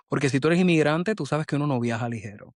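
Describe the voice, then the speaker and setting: Recorded dry and close with no echo against a quiet background, this is an ordinary speaking voice with ordinary pitch variation. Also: man. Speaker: podcast host. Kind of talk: podcast intro. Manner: humorous, upbeat.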